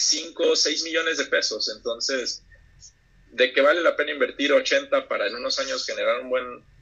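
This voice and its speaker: The words come rather slowly, with clearly noticeable noise in the background. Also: man. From Mexico, Oaxaca coast (Huatulco). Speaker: real estate investor. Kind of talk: casual interview chat.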